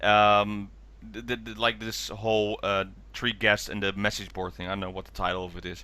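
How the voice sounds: The tone is bright and sharp, the pace moderate, and the pitch moves very little. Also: man, fairly low pitch for a man.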